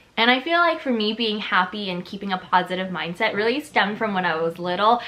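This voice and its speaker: Very fast speech from a woman with a fairly high pitch and lively intonation, over noticeable background noise. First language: Chinese. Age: 20s. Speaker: lifestyle YouTuber. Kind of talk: casual vlog talk to camera.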